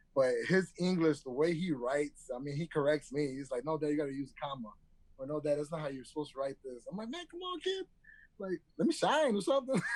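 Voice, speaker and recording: A man talks at a very fast pace with a Spanish accent. His pitch is fairly high, with ordinary pitch variation. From Detroit. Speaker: chef. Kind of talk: casual chat.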